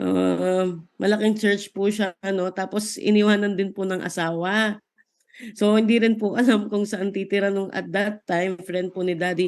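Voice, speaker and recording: A woman talks at a moderate pace in a medium pitch with monotone, flat intonation. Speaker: Bible study participant. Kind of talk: testimony.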